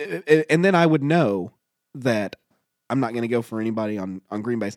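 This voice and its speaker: A man with an ordinary speaking voice talks at a fairly quick pace and medium pitch, his intonation lively, the sound dry and close with no echo. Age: 30s. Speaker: podcast co-host. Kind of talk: casual chat.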